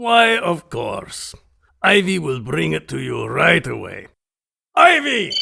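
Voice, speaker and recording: A man's raspy put-on character voice at a fairly slow pace, with long, frequent pauses. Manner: formal, courtly.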